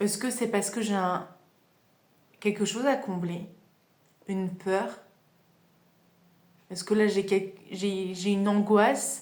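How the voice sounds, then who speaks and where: Very slowly and with long, frequent pauses, a woman speaks at a medium pitch in fairly even intonation. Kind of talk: casual self-help podcast talk. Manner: hesitant, conversational.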